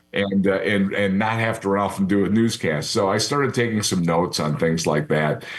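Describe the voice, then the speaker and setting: A man with a fairly low pitch talks at a fairly quick pace with hardly any pauses, very even loudness, ordinary pitch variation and audible room echo. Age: 60s. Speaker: retired TV sports anchor. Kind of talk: interview. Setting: studio.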